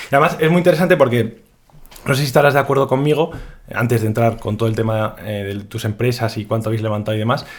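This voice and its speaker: A man's medium-pitched, somewhat breathy voice at a very fast pace, with ordinary pitch variation. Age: 20s. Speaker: podcast host. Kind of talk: casual interview.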